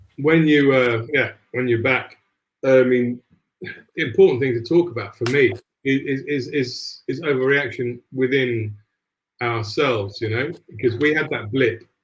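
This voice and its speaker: Somewhat breathy and fairly slow, a man speaks at a medium pitch with fairly even intonation. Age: 50s. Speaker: football podcast host. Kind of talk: casual football chat.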